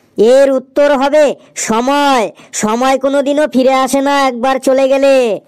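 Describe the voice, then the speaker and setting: A high-pitched cartoonish character voice at a moderate pace. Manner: confident, matter-of-fact.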